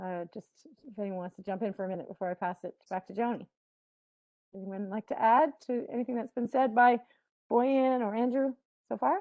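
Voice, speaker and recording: A woman with a fairly high pitch talks at a fairly quick pace. Her loudness swings widely, and she takes long, frequent pauses. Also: ordinary pitch variation. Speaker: panel moderator. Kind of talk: panel discussion. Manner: fast.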